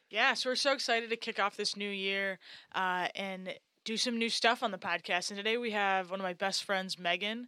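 A woman with an American accent speaks fairly quickly at a medium pitch, her tone bright and sharp and her intonation fairly even. The recording is very clean, with a silent background. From upstate New York. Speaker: podcast co-host, international adoptee. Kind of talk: casual chat.

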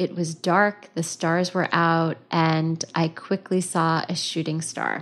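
A woman speaks very slowly in a fairly low, monotone, flat voice with hardly any pauses against a quiet background. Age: 50s. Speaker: podcast host and counselor. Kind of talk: personal storytelling monologue. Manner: lighthearted, casual.

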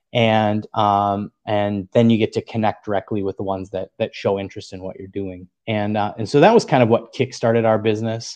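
In a dry, close sound with no echo, a man with an American accent talks at a fairly quick pace in a monotone, flat intonation with hardly any pauses. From US Upper Midwest, northern Wisconsin. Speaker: co-founder of an online tackle retailer. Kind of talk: podcast interview.

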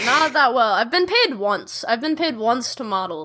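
A woman's raised, projected voice with an American accent and very wide pitch swings. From Chicago, US Midwest. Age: 20s. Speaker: singer-songwriter. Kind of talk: casual chat.

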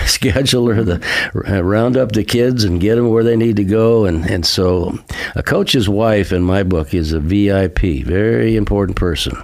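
A man talks at a fairly slow pace in a fairly low pitch. Noticeable background noise runs beneath him. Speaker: radio host. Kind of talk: radio interview.

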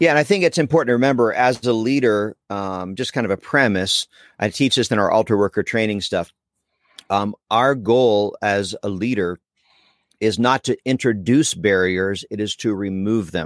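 A man's fairly low voice with an American accent, a normal speaking voice at a moderate pace, ordinary pitch variation, and a very clean recording over a silent background. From Pennsylvania, US. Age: 40s. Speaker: evangelist. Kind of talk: casual chat.

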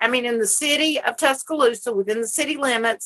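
The voice has a Southern US accent, a bright, sharp tone and lively intonation. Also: woman. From US South. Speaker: cannabis advocate. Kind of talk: casual chat. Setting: porch.

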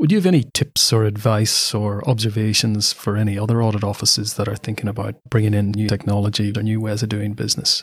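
A man talks at a very fast pace with hardly any pauses, his voice somewhat breathy and his intonation fairly even. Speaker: podcast host. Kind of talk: interview.

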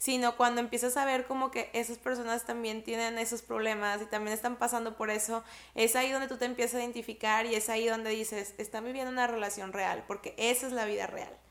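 Almost without pausing, a woman rattles off words at a very fast pace in a flat monotone, her pitch fairly high. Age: 30s. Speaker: entrepreneur. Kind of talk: casual chat.

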